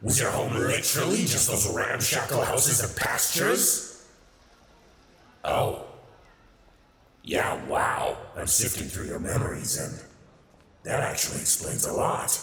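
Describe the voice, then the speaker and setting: A raspy put-on character voice comes at a fairly slow pace with a clear echo. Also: man, medium pitch for a man. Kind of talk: ASMR audio roleplay. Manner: sardonic, playful.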